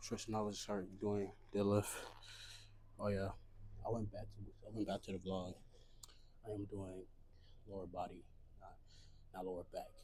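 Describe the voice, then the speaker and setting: Over audible room echo, a man with a fairly low pitch and a dark, mellow, somewhat breathy tone speaks in a monotone, flat intonation with long, frequent pauses. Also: moderate pace. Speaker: fitness vlogger. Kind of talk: casual vlog while working out. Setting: gym. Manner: talking low. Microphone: small portable mic, unsure if it picks up quiet speech.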